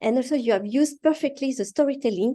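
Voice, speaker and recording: This is a woman with a French accent. Her pitch is high. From France. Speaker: speech evaluator. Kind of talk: speech evaluation. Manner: halting.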